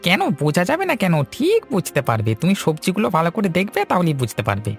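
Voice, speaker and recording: In a put-on character voice of middle pitch, the speaker goes at a moderate pace while clear music plays in the background. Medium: short film. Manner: earnest, plain-spoken.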